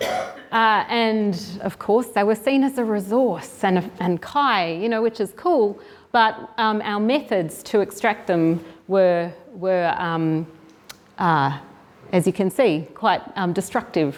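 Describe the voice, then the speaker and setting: A woman speaks at a very slow pace in a medium pitch, with a slight Australian accent and ordinary pitch variation. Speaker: marine restoration program director. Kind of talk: seminar presentation. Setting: venue with live audience. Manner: halting, many fillers.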